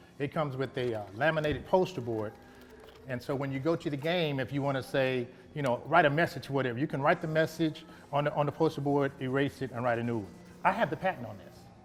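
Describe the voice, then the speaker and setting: A man with a fairly high pitch talks very fast while noticeable noise carries on in the background. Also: ordinary pitch variation. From Arkansas, Little Rock. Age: 60s. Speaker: bodybuilder and businessman. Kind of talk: casual interview.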